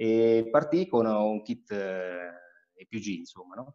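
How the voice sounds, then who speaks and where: A man against a quiet background. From Marche, Italy. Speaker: homebrewer and body shop owner; interviewee. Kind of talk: casual interview; home brewery tour. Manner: halting, many fillers. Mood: relaxed, smiling. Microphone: video call.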